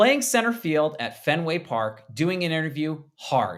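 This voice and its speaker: In a very clean recording with a silent background, a man with a fairly high pitch talks at a moderate pace using lively intonation. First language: not English. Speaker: baseball podcast host. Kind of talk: casual sports chat.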